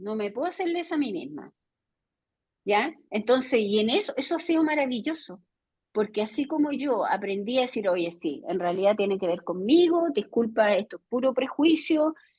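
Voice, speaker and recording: Here a woman speaks at a moderate pace with a high pitch. Her voice makes very wide pitch swings. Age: 60s. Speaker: educator and academic. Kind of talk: video conference lecture discussion. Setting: video call.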